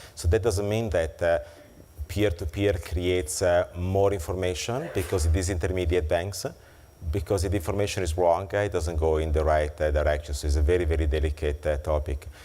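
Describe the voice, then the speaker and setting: The speaker has an Italian accent and a fairly quick pace. Intonation stays fairly even, with audible room echo. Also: man, very deep, low pitch for a man. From Italy. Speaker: keynote speaker on financial technology. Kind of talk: conference keynote and Q&A. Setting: conference luncheon with audience. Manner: hesitant with fillers.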